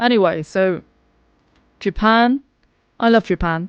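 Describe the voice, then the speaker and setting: Heard against a quiet background, a woman with a British accent speaks at a fairly high pitch, the sound dry and close with no echo. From England. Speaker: vlogger. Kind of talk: casual vlog monologue. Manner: animated.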